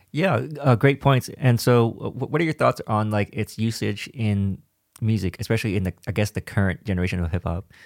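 Recorded very cleanly against a silent background, an unremarkable speaking voice goes at a fairly quick pace with ordinary pitch variation and a dry, close sound with no echo. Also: man, fairly low pitch for a man. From Vietnam, raised in US (Virginia, San Diego). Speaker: podcast host. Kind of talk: casual chat.

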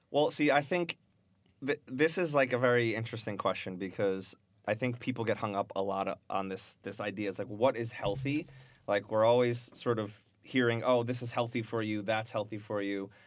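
In a normal speaking voice, a man talks at medium speed and medium pitch, with ordinary pitch movement. The background is silent and the recording very clean. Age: 30s. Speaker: software engineer. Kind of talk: casual chat.

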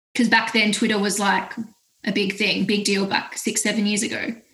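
An animated, fairly quick voice with an Australian accent and audible room echo. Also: woman. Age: 20s. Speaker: music platform founder. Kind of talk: casual interview.

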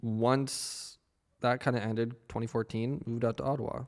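Recorded very cleanly against a silent background, a man with a Canadian accent and a plain, everyday voice speaks at a moderate pace, medium in pitch, with fairly even intonation. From western Canada. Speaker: video editor and photographer. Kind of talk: casual chat.

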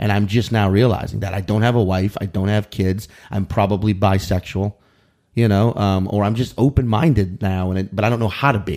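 A man with an American accent and an unremarkable speaking voice, fairly low in pitch, at a fairly quick pace with fairly even intonation. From US South, New Orleans area, Louisiana. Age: 30s. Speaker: comedian. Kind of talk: casual chat.

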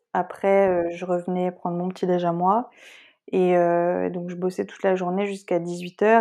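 Over a quiet background, a woman speaks very slowly in a medium-pitched voice with a dark, mellow tone. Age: 20s. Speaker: working holiday traveller. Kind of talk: interview testimony. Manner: hesitant, many fillers.

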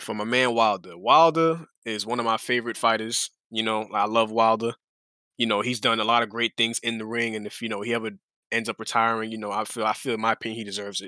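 A man at a very fast pace, bright and sharp in tone, on a very clean recording with a silent background. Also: medium pitch for a man, fairly even intonation, dry, close sound with no echo. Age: 20s. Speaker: podcast guest, combat sports fan. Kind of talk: casual chat.

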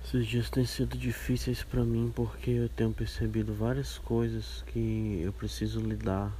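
A man speaks at a fairly slow pace with hardly any pauses, his very deep, low voice somewhat breathy and dark and mellow in tone. Audible echo fills the room around him. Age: 30s. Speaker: podcast host. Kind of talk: casual monologue. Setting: outdoors in garden.

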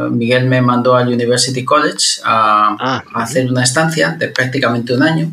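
A man with a bright, sharp tone speaks at a fairly quick pace with hardly any pauses, keeping ordinary pitch variation and very even loudness. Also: medium pitch for a man. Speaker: engineering professor. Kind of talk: interview conversation. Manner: engaging pleasant pace.

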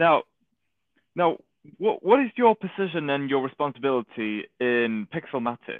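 In a Manchester accent, a man speaks at a fairly slow pace with lively intonation and long, frequent pauses. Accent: Mancunian northern English. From Manchester, England. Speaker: podcast host. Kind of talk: casual interview chat.

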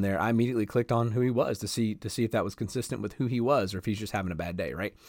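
With a Southern US accent and fairly even intonation, a man speaks on a very clean recording with a silent background. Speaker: podcast host on leadership. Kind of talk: casual monologue. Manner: laid back.

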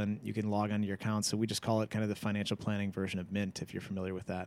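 This man has an American accent and a fairly low voice. His intonation is monotone and flat. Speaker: financial advisor. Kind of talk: casual chat. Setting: studio.

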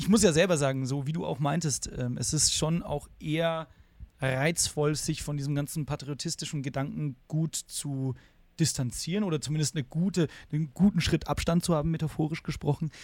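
A man with an unremarkable speaking voice keeps a moderate pace, his fairly high pitch showing ordinary pitch variation. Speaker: podcast co-host. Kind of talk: casual chat. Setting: video call.

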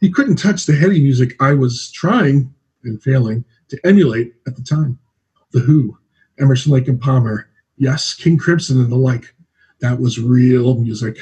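A man's dark, mellow, somewhat breathy voice sits at a medium pitch with ordinary variation and a moderate pace. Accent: American. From New Jersey. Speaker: singer-songwriter. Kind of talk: reading aloud.

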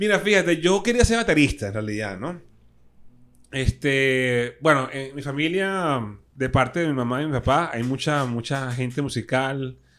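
A man with a plain, everyday voice, fairly high pitch, lively intonation and a fairly slow pace, on a very clean recording with a silent background. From Venezuela, Caracas (Caricuao). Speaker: guitarist, DJ and radio host. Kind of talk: casual interview chat. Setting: studio.

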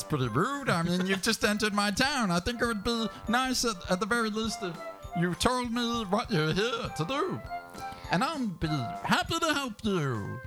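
Against clear background music, a man puts on a high-pitched character voice at a moderate pace. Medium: actual play. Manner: polite, genteel.

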